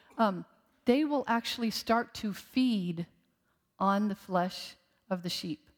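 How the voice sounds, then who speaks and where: On a very clean recording with a silent background, a woman with an unremarkable speaking voice talks at a fairly slow pace and fairly high pitch, with lively intonation. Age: 60s. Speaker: guest preacher, former ICU nurse. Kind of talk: sermon. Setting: church service with congregation.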